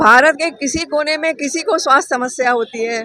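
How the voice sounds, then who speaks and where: A woman raises and projects her high-pitched voice over noticeable background noise. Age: 70s. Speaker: volunteer at a charity blood donation camp. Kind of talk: interview.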